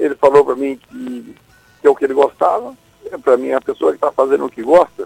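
Very fast male speech marked by big swings in loudness. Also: dry, close sound with no echo. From Brazil, Ceará (Acopiara). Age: 70s. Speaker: bereaved father of a late musician. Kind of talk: radio interview.

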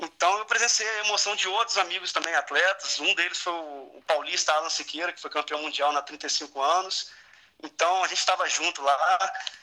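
Noticeable background noise surrounds a man with a high pitch. He keeps a moderate pace with ordinary pitch variation. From Campos, Rio de Janeiro state, Brazil. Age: 20s. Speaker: triathlete and firefighter. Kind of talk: interview.

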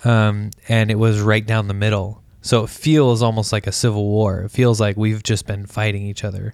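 Monotone, flat intonation runs through speech delivered at a moderate pace. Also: man. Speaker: podcast co-host. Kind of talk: casual chat. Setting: home recording.

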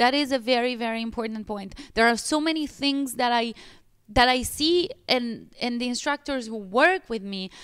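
A woman with an Italian accent speaks at a moderate pace in a high voice with ordinary pitch variation, recorded very cleanly against a silent background. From Italy. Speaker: pilates studio owner. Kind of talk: podcast interview.

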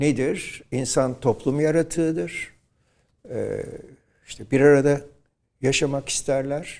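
A fairly high-pitched man at a very slow pace, with long, frequent pauses, big swings in loudness and ordinary pitch variation. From Turkey, Izmir. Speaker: professor and nationalist thinker. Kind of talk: interview. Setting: studio.

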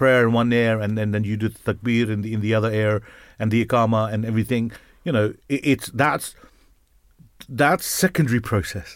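Very clean recording, silent background, and a man with a normal speaking voice. His pitch is medium and his pace moderate. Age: 50s. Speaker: radio show host. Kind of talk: casual chat. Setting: studio.

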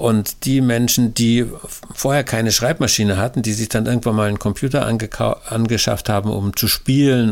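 Here a man talks in a plain, everyday voice. His pace is moderate and his intonation fairly even. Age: 60s. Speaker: pastor and author. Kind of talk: interview. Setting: recorded at home, file sent.

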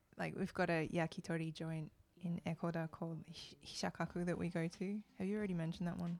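Speaking at a very fast pace, a woman with an Australian accent uses a fairly low pitch. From Australia, Melbourne. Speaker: koto musician. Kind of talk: casual interview chat. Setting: studio.

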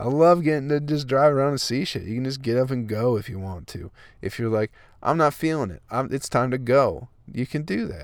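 An American-accented man at a medium pitch, fairly quick pace and ordinary pitch variation, on a very clean recording with a silent background. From Flint, Michigan. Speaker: comedian podcaster. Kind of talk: casual monologue. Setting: parked minivan. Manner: rambling, laughing often.

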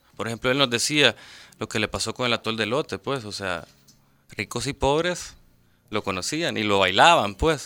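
Over a very clean recording with a silent background and a dry, close sound with no echo, a man speaks in a bright, sharp tone with lively intonation and long, frequent pauses. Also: medium pitch for a man, moderate pace. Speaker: documentary producer. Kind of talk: interview.

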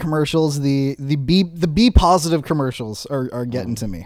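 A plain, everyday voice speaks at a moderate pace with ordinary pitch variation. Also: man. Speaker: podcast co-host. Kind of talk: casual banter.

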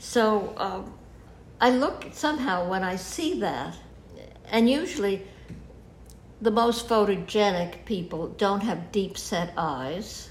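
With an American accent, a woman speaks at medium pitch, somewhat breathy, with lively intonation. Her pace is very slow, with long, frequent pauses. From New York. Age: 80s+. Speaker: photographer. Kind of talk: interview. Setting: at home. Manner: halting.

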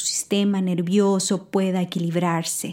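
A woman speaks with a warm tone. Her pitch is medium. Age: 40s. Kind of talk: devotional talk. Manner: warm, intimate; hesitant with fillers.

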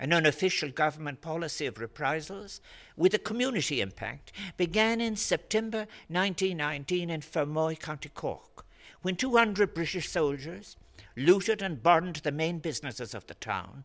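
A fairly high-pitched man with an Irish accent, lively intonation and a moderate pace, in a very clean recording with a silent background. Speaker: public speaker giving an address. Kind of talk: formal address. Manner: formal.

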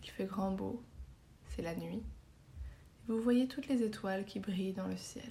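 In a calm, gentle tone, the voice moves at a fairly slow pace with long, frequent pauses. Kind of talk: guided meditation (yoga nidra) for sleep, star-sky visualisation. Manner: slow, soft-spoken, soothing, with long pauses; calm, gentle, hypnotic, even pace.

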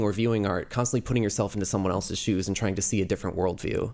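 The man rattles off his words very quickly, his pitch varying in an ordinary way. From New Jersey. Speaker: artist. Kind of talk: interview.

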